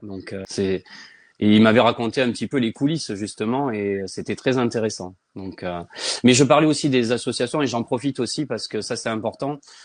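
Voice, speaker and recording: A man with a plain, everyday voice speaks at a medium pitch and a moderate pace. His pitch variation is ordinary, and the background is quiet. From Provence, southern France. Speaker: children's author. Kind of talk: casual interview.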